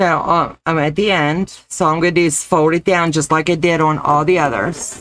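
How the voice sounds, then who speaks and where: A woman's fairly low pitch in an ordinary speaking voice, at a moderate pace with hardly any pauses, fairly even intonation, very even loudness and light background noise. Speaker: crafts demonstrator. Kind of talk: live-stream crafting tutorial. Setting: live stream. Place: home room.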